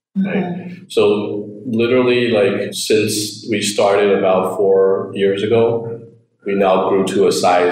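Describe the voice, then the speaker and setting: Audible room echo and noticeable background noise around a man's voice. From Taiwan. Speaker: startup founder. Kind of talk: interview.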